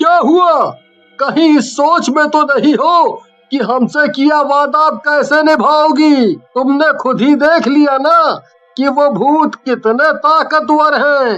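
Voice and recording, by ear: A cartoonish character voice talks at a fairly slow pace in a high pitch.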